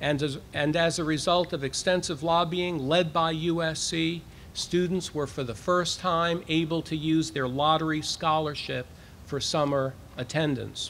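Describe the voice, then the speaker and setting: Over light background noise, a man with a fairly high pitch talks at a fairly slow pace with fairly even intonation. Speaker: university president. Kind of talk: formal address to a live audience. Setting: outdoors, with cicadas audible. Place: street. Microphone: podium.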